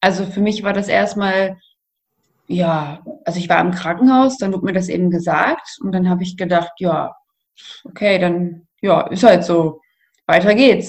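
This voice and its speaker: Speech comes with long, frequent pauses. There is a somewhat breathy quality to it. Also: woman, medium pitch for a woman, ordinary pitch variation, fairly slow pace. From north-western Germany, near Münster. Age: 20s. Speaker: nurse and blogger with chronic illness. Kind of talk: interview, personal testimony.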